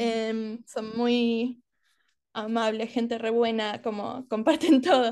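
A woman with an Argentine accent speaks very slowly at a fairly high pitch, her intonation fairly even. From Australia (Adelaide), Argentine family. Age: 20s. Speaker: university student. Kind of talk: interview. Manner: halting.

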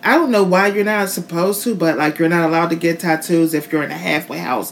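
There is noticeable noise behind this woman. She talks at a fairly quick pace. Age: 40s. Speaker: podcast co-host. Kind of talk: casual banter, podcast recap. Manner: loud, joking, profane.

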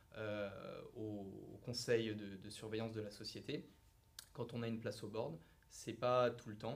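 A man speaks fairly slowly at medium pitch, with fairly even intonation. Long, frequent pauses break his speech, and audible room echo is present. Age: 30s. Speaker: private equity investment manager. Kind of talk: interview.

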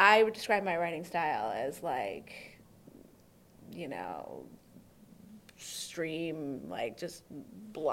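Audible room echo surrounds a woman who speaks at a fairly slow pace with long, frequent pauses. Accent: American. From US Midwest, Oakland County, Michigan (Detroit suburbs). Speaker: journalist and author. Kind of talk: casual interview. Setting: video recording.

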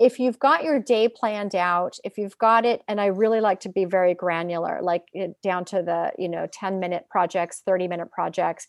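In a Californian accent, a woman talks at a moderate pace and medium pitch with ordinary pitch variation and hardly any pauses, in a dry, close sound with no echo against a quiet background. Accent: General American (Californian). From US West Coast, San Francisco Bay Area. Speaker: dietitian and career coach. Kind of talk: interview conversation. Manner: halting, many fillers.

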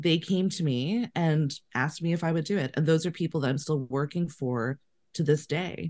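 Speaking in a Canadian accent, a woman with a very deep, low pitch talks at a moderate pace with ordinary pitch variation. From Canada, Winnipeg. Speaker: casting director. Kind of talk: casual interview.

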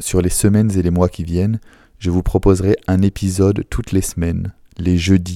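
In a very clean recording with a silent background and a dry, close sound without echo, a man speaks in a very deep, low voice with a dark, mellow tone and flat, monotone intonation. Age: 30s. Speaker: doctor and podcast host. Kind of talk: scripted monologue.

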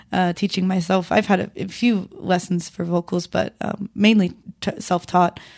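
A woman's normal speaking voice at medium pitch, moderate pace and fairly even intonation, in a very clean recording with a silent background. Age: 20s. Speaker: musician and music teacher. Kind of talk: casual chat. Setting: studio.

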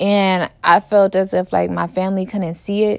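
A woman with an American accent speaks in a plain, everyday voice at a moderate pace, with medium pitch, fairly even intonation and a dry, close sound with no echo. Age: 20s. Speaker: podcaster. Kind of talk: personal monologue. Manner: casual, filler-heavy.

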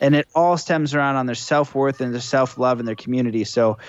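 A plain, everyday voice from a man at medium pitch, with fairly even intonation. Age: 30s. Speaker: spiritual coach and podcaster. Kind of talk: casual chat. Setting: video call.

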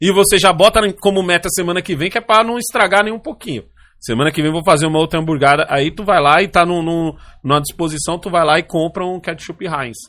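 On a very clean recording with a silent background, a man with a high pitch, bright, sharp tone and animated tone talks at a very fast pace with ordinary pitch variation. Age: 40s. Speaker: podcast host. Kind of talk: casual chat.

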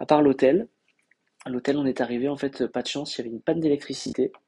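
There is no echo in this dry, close recording of a man whose tone is dark and mellow. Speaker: travel podcaster. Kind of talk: casual monologue. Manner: hesitant with many fillers.

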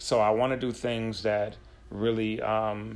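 With an American accent, a man speaks in a monotone with flat intonation. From upstate New York (Buffalo). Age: 40s. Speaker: podcast host, teacher. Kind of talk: casual interview chat.

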